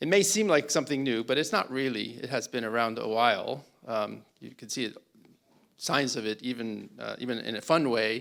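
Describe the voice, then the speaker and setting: In an American accent, a man talks at a moderate pace with vocal fry. His pitch variation is ordinary. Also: medium pitch for a man, big swings in loudness, very clean recording, silent background. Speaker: panel moderator. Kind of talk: conference opening talk. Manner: hesitant, with fillers.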